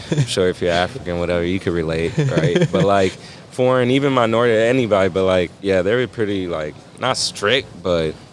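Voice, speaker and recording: Over noticeable background noise, a man speaks at a fairly quick pace and fairly low pitch, his tone animated and his intonation lively. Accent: American. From US Midwest, South Bend, Indiana. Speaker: graphic designer and artist. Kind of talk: casual interview chat. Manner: animated, slangy.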